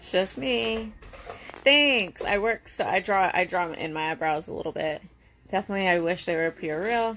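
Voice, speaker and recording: Moderate speed, ordinary pitch variation and a quiet background. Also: woman. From Connecticut, New England. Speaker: reality TV personality. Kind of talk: live stream Q&A. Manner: loud; casual, filler-heavy.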